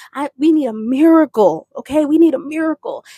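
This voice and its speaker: In a dry, close sound with no echo, a woman speaks in an animated tone with ordinary pitch variation. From Brentwood. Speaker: faith podcaster. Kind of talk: testimony.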